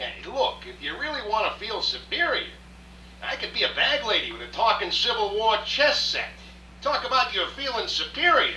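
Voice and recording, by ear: A man puts on a character voice, pitched high with big swings and a bright, sharp tone. Room echo can be heard. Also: moderate pace.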